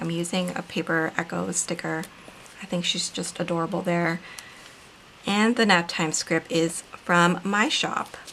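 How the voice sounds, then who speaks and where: Over noticeable background noise, a woman talks at a fairly slow pace with a fairly low pitch and ordinary pitch variation. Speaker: planner video creator and author. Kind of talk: casual craft tutorial narration.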